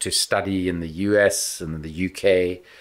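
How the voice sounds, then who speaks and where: A man with a South African accent, his pitch fairly low with ordinary variation. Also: very clean recording, silent background. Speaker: former politician and anti-corruption investigator. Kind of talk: podcast interview.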